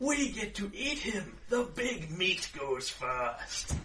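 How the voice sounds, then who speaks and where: A man's put-on character voice, high in pitch and very slow, over clear background noise. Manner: loud.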